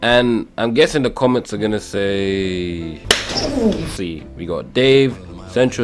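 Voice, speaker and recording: Backed by music in the background, a man speaks with lively intonation. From England. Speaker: YouTuber. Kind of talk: casual commentary video. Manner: animated.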